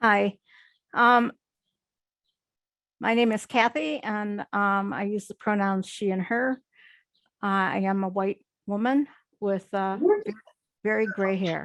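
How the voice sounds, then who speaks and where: A woman talks at a very slow pace with long, frequent pauses, her medium pitch and fairly even intonation captured in a dry, close sound with no echo against a quiet background. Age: 70s. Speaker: retired social worker. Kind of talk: personal testimony on a panel.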